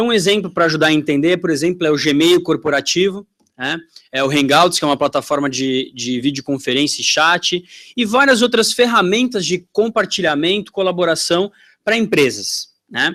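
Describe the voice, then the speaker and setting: A man speaks at a high pitch with a bright, sharp tone. His intonation is lively and his pace moderate. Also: very clean recording, silent background. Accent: strong São Paulo. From Brazil, São Paulo. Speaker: tech company sales representative. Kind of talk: conference talk. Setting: stage with audience. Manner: casual, conversational.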